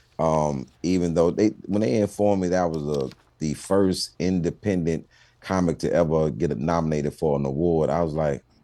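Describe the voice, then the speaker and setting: With a Houston accent, a man speaks at a moderate pace in a very deep, low pitch with a dark, mellow tone and ordinary pitch variation. The recording is very clean, with a silent background. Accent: Houston Texas. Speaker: stand-up comedian. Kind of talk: TV interview.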